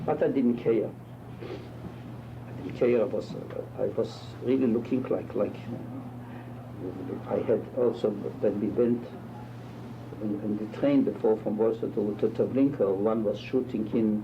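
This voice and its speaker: Over noticeable background noise, a man at medium pitch talks at a very slow pace with monotone, flat intonation. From Poland. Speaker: rabbi, Holocaust survivor. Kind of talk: interview answer.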